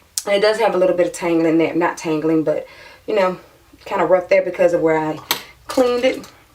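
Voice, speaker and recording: Over noticeable background noise, a woman speaks at a very fast pace with long, frequent pauses, using a fairly low pitch and ordinary pitch variation. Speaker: beauty vlogger. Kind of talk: tutorial. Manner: casual, chatty.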